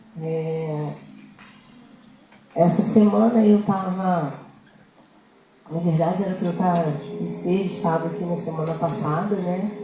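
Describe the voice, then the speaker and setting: A woman with a fairly low voice speaks very slowly, leaving long, frequent pauses. Music plays behind her, and the room echoes audibly. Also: ordinary pitch variation. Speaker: lay preacher. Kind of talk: sermon.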